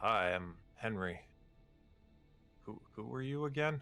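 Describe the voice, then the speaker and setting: A man talks at a fairly slow pace in a put-on character voice. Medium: actual play. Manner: friendly, hesitant.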